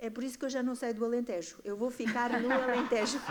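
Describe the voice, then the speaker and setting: A woman's voice, high in pitch. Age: 60s. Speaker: artist and community project director. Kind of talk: panel discussion. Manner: animated, halting with repetitions.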